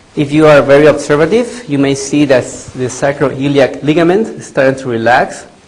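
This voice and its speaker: A man talks at a fairly slow pace in a fairly high voice. Audible room echo surrounds him. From Latin America. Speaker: veterinarian. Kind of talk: lecture. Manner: loud.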